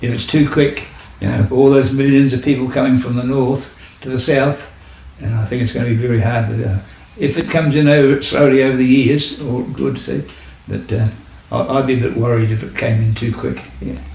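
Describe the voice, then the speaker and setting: This man has a New Zealand accent and a medium pitch. He talks at a fairly quick pace with fairly even intonation. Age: 80s+. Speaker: war veteran. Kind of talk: interview. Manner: halting.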